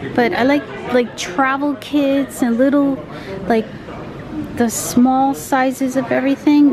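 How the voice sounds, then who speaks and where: A high-pitched woman with ordinary pitch variation, noticeable background noise around her. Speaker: travel vlogger. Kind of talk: casual vlog chat. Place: shop. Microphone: phone near.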